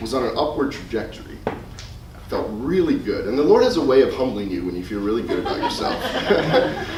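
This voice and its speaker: Amid noticeable background noise and audible room echo, a man talks at a medium pitch and a fairly quick pace with lively intonation. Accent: American. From US Midwest, Chicago. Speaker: youth minister. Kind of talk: presentation to youth ministers. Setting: conference presentation with audience. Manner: fast.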